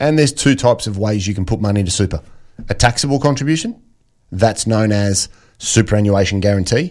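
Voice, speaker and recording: A man speaks with an Australian accent, fairly low in pitch with ordinary pitch variation. The recording is very clean, with a silent background. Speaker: financial planner. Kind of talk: radio interview.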